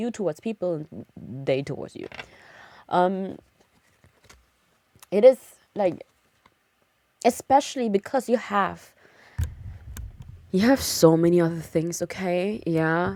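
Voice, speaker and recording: Speaking at a very slow pace with long, frequent pauses, a woman has a fairly low pitch, a dark, mellow tone and a slight German accent. Her intonation is lively, her loudness swings widely, and the sound is dry and close with no echo. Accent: light German. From Germany. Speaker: streamer. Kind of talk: casual chat. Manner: hesitant, many fillers.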